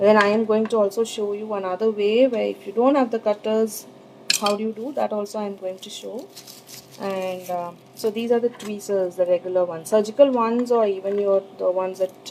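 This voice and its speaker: A woman talks at a fairly quick pace with fairly even intonation and big swings in loudness, amid noticeable background noise. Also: medium pitch for a woman. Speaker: sugar art teacher. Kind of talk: live tutorial. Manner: hesitant, many fillers; trying to speak louder.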